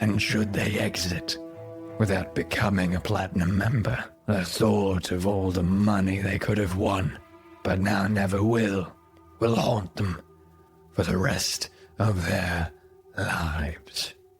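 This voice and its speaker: Over clear music, a man uses a raspy, put-on character voice at a fairly low pitch, speaking fairly slowly with long, frequent pauses. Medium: actual play. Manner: smug, taunting.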